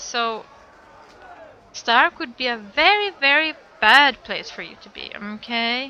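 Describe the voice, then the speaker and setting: Speaking very slowly with a non-native accent, a woman uses a high pitch and very wide pitch swings amid noticeable background noise. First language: not English. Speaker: streamer. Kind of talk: live stream chat.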